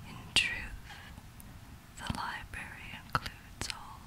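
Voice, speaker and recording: Very slow whispering over noticeable background noise. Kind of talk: whispered literary story reading for relaxation. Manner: whispered.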